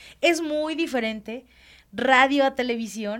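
A woman speaks with lively intonation. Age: 40s. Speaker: children's radio presenter. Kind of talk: casual interview. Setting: studio.

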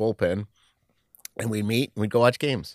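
Recorded very cleanly with a silent background and a dry, close sound with no echo, the speaker talks at a fairly quick pace with a New York accent. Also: man. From Queens, New York. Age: 50s. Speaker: sports club communications executive. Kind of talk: interview.

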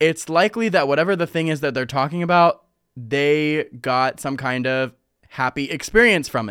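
A man's fairly high-pitched voice at a moderate pace, with ordinary pitch variation, on a very clean recording with a silent background. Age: 20s. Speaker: solo podcaster. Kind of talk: casual monologue.

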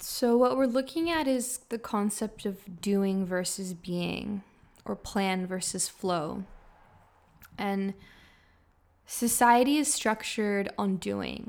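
On a very clean recording with a silent background, a woman speaks very slowly at a medium pitch. Her intonation is lively, broken by long, frequent pauses. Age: 20s. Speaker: podcast host. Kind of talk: casual solo monologue.

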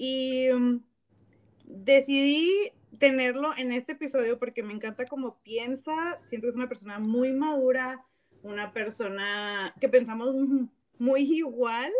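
A woman speaks in a high pitch with ordinary pitch variation and big swings in loudness. Her pace is fairly slow, broken by long, frequent pauses. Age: 30s. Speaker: podcast host. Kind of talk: casual chat. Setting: remote call.

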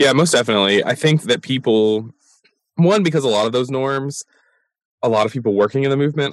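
Ordinary pitch variation marks a man's very fast delivery. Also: dry, close sound with no echo. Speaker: podcast host. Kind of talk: casual interview conversation.

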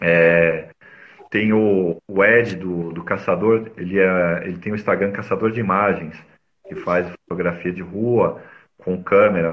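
Fairly slow and very deep in pitch, a man speaks with fairly even intonation and big swings in loudness. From São Paulo city, Brazil. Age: 40s. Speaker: mobile photographer. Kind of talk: casual interview. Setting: live video stream.

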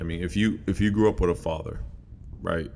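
A man with vocal fry talks at a very fast pace, using ordinary pitch variation. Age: 30s. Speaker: podcast host and pastor. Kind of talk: solo podcast monologue. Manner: halting, many fillers and repetitions.

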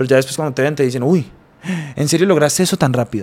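A man speaks with an Antioquian accent at a fairly high pitch. His intonation is lively. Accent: Colombian paisa Spanish. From Colombia, Bello near Medellín. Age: 20s. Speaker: businessman. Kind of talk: interview.

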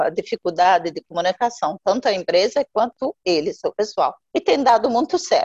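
Pitched high, a woman's voice swings very widely at a moderate pace, the sound dry and close with no echo. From Jordan, Palestinian family. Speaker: NGO founder. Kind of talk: interview. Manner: halting, many fillers.

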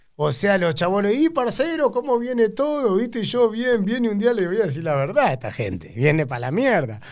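With an Argentine accent, a man speaks with very wide pitch swings. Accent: Rioplatense Argentine Spanish. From Argentina, Buenos Aires north zone (Tigre). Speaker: cumbia singer and band leader. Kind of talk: casual interview chat.

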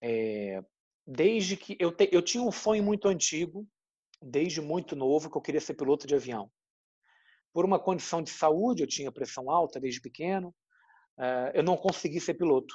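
Against a quiet background, a man speaks at a high pitch with a dark, mellow tone. He keeps a moderate pace and lively intonation, with long, frequent pauses. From Brazil, Rio de Janeiro. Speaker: journalist. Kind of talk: interview. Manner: halting, many fillers.

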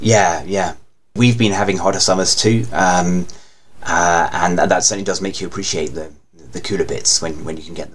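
A man's very deep, low voice at a moderate pace, fairly even in intonation, with audible room echo. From England. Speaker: anime fan guest. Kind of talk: casual chat. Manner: halting.

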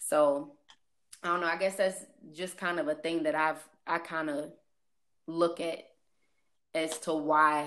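The speaker talks at a moderate pace. The voice carries a Midwestern US accent. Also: woman. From St. Louis area, US Midwest. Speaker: guest. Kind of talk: casual chat.

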